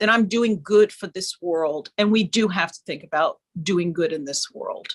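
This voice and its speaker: A woman speaks at a medium pitch in a plain, everyday voice, with big swings in loudness, ordinary pitch variation, and a dry, close sound with no echo. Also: moderate pace. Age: 60s. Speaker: designer. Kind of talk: panel discussion.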